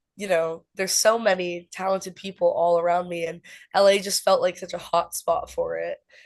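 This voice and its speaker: At a moderate pace, a woman speaks with a slight West Coast US accent. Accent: basic American, slight West Coast. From US West Coast, mostly California. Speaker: singer-songwriter. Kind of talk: interview. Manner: casual, many fillers like 'like'.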